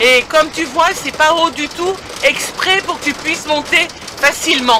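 A woman talks at a fairly slow pace with ordinary pitch variation. Noticeable background noise runs underneath. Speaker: motorhome traveler vlogger. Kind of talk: casual vlog chat. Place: car. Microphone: phone near.

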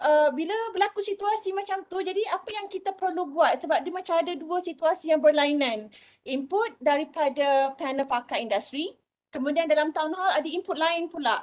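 A woman's extremely high-pitched voice with lively intonation at a moderate pace, against a quiet background. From Malaysia. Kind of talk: meeting discussion. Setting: video call. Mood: polite, slightly hesitant. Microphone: video call.

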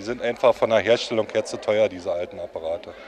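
The man talks at a fairly quick pace, the sound dry with no echo and light background noise behind him. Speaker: telephone collector. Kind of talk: explaining a hobby in interview. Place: hall. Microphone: handheld.

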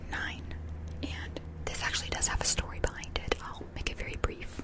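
A woman's voice comes through dry with no echo. Loud background noise surrounds it. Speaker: ASMR creator. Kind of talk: ASMR personal facts talk. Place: home room. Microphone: studio mic.

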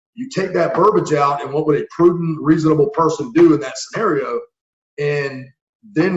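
This man's voice sits at a high pitch and shows ordinary pitch variation. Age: 40s. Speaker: former Marine and police officer, tactical trainer. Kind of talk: casual interview chat. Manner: animated.

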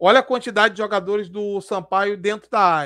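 A man speaking at a moderate pace over a quiet background. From Brazil. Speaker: football YouTuber. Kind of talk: live stream commentary. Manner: casual, slangy. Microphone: headset.

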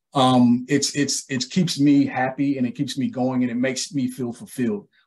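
Here a man speaks with an American accent. His pace is moderate and his pitch varies in an ordinary way. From Ohio, Columbus; Ohio. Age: 40s. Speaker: archaeologist and educator, small business owner; educator, guest. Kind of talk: interview. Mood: calm, friendly. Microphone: video call.

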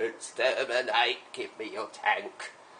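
A man speaks at a fairly slow pace in a put-on character voice, with clear background noise behind him. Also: extremely high pitch for a man. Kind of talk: playful comment, mock robot voice. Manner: menacing, barking.

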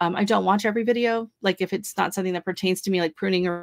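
A woman talks at a very fast pace. The recording is dry and close, with no echo. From US Pacific Northwest. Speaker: YouTuber and gardener. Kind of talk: casual chat. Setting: video call livestream.

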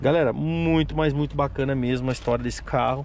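Light background noise sits under a dry sound with no echo as a man talks at a fairly quick pace with a fairly high pitch and ordinary pitch variation. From Brazil, Paraná (Apucarana); Paraná, Brazil. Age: 30s. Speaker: classic car YouTuber. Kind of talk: casual vlog presentation. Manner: animated. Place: car. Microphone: phone near.

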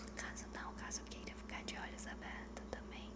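Loud background noise behind a woman speaking at a fairly slow pace. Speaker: ASMR creator. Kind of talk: soft ASMR roleplay talk. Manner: soft, hushed ASMR voice. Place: home room. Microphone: studio mic.

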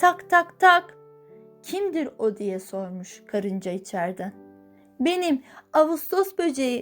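Music plays behind a woman speaking at a very slow pace. Her voice is high-pitched, with very wide pitch swings. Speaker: voice-over narrator. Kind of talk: children's fairy tale reading.

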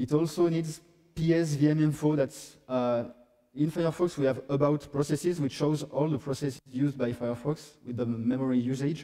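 The voice has a dark, mellow tone and fairly even intonation. The background is quiet. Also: man, fairly high pitch for a man, moderate pace. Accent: French. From France. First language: French. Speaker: software developer; conference presenter. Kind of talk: conference talk; technical conference talk. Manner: halting. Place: hall.

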